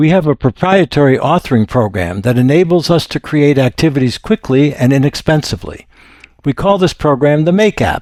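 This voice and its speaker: A man speaks at a fairly quick pace in an unremarkable speaking voice with lively intonation and very even loudness. The sound is dry and close, with no echo. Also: fairly high pitch for a man. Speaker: software demo presenter. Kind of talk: product demo narration. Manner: formal.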